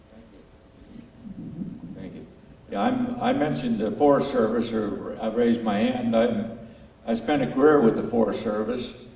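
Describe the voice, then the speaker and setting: Over noticeable background noise and audible room echo, a man speaks at a fairly slow pace with big swings in loudness. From Wyoming. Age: 80s+. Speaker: retired forest service worker, audience member. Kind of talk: audience comment. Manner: halting.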